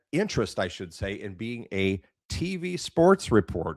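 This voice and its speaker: A man's voice with vocal fry and very wide pitch swings, dry and close with no echo, on a very clean recording over a silent background. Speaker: podcast host, former radio DJ. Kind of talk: casual interview chat.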